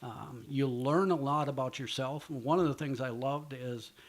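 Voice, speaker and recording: This man has an unremarkable speaking voice at a medium pitch, with ordinary pitch variation and an American accent. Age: 60s. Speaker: professional walleye angler and youth fishing promoter. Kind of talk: interview.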